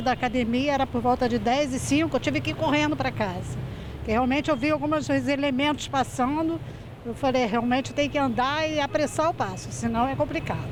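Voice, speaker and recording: Noticeable background noise is present throughout. The talking is fairly quick, with ordinary pitch variation. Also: woman, high pitch for a woman. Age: 60s. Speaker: street interviewee. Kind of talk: street interview.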